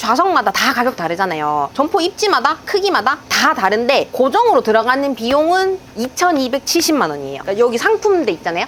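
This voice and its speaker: Speaking at a fairly quick pace with hardly any pauses, a woman uses a high pitch that swings very widely. Noticeable background noise can be heard. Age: 30s. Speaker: convenience store owner. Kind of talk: interview answer. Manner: bright, cheerful.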